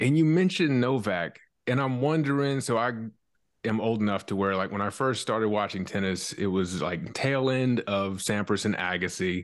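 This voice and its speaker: On a very clean recording with a silent background, a man with an unremarkable speaking voice talks at a moderate pace, fairly low in pitch, with lively intonation and very even loudness. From US South, South Carolina. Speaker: podcast host. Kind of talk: casual interview.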